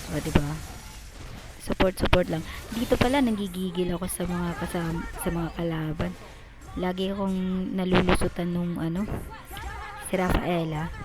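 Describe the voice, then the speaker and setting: Over crowd noise in the background, a woman with a fairly low pitch talks at a moderate pace with long, frequent pauses. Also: fairly even intonation. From Visayas, Philippines. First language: Cebuano (Bisaya) (speaking Tagalog). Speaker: gamer. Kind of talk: gameplay voiceover commentary. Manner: halting, many fillers; casual.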